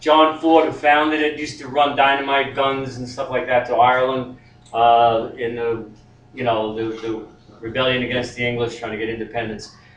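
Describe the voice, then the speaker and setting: At a moderate pace, a man talks in a normal speaking voice, his medium pitch held in fairly even intonation. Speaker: poet. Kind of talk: casual spoken introduction.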